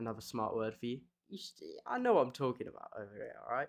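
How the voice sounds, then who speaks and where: A man with a British accent speaks at medium pitch. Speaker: video essayist. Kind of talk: casual video essay monologue. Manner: rambling, hesitant with fillers.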